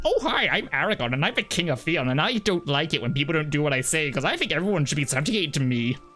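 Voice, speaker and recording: Someone speaks very fast in a put-on character voice at a middle pitch. Music plays clearly in the background. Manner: pompous, domineering.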